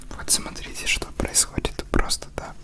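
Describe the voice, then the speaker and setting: A man whispering over noticeable background noise. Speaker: ASMR content creator. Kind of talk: casual talk to camera. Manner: soft-spoken, whispered.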